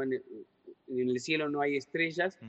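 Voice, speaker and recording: The speaker is a man. He talks at a fairly high pitch. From Uruguay, Artigas (Brazilian border). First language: Portuñol (speaking Spanish). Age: 40s. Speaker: writer and secondary school teacher. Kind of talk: interview.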